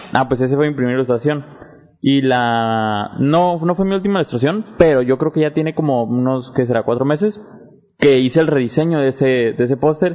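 A man with a fairly high voice talks fairly quickly, his pitch varying in an ordinary way. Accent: Mexican. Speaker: podcast host and university student. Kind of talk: casual interview chat.

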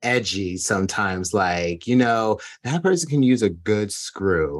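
A man with an American accent, an unremarkable speaking voice, lively intonation and a fairly slow pace, against a quiet background. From New Jersey. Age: 30s. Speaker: podcast co-host and producer. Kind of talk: casual chat.

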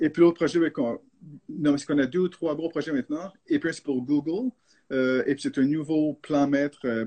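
The speaker keeps a moderate pace. Their pitch moves up and down in an ordinary way. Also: man, fairly high pitch for a man. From Canada, French-speaking. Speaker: architect. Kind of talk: live video discussion. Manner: halting.

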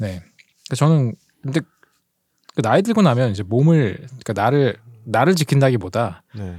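A man talks at a fairly quick pace with lively intonation. He leaves long, frequent pauses. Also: medium pitch for a man. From Gangseo-gu, Seoul. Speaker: film podcast guest. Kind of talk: casual chat.

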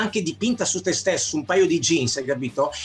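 A man's high-pitched voice at a fairly quick pace, with noticeable background noise. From Milan, Italy. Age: 50s. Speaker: graffiti artist. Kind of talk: casual interview.

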